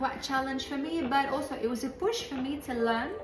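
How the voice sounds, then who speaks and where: A woman with a Moroccan accent speaks in a high pitch with lively intonation, amid noticeable background noise and audible room echo. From Morocco. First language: Moroccan Arabic. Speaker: podcast host. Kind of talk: podcast monologue. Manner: hesitant, many fillers.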